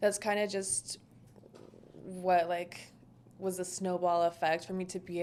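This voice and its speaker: A woman speaks softly at a fairly low pitch. Her pace is fairly slow. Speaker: short-term rental entrepreneur. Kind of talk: podcast interview. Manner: soft-spoken.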